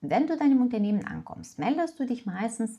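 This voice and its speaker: With a non-native accent and some vocal fry, a woman talks at a moderate pace with very wide pitch swings, recorded very cleanly against a silent background. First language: not German (speaking German). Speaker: German teacher and office worker. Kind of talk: tutorial. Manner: casual, with filler words.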